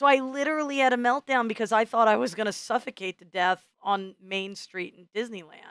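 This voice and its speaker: Using a Midwestern American accent, a woman with a medium pitch speaks at a fairly quick pace with lively intonation, in a dry, close sound with no echo. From US Midwest. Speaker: podcast co-host. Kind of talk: casual chat. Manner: loud.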